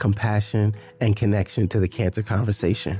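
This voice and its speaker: Music plays in the background. A man with a fairly low pitch speaks at a moderate pace. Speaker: podcast host. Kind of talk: podcast intro.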